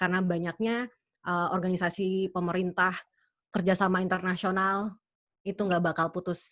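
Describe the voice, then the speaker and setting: A woman talks at a moderate pace with medium pitch and very even loudness. Her intonation is monotone and flat. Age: young. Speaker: interpreter. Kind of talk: webinar Q&A. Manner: halting.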